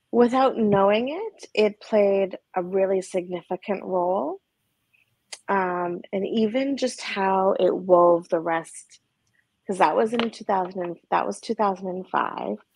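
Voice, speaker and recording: At a very slow pace, a woman speaks at a medium pitch with ordinary pitch variation, the sound dry with no echo against a quiet background. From Alberta, Canada. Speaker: trauma therapist. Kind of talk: interview conversation. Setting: video call. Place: home room. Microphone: video call.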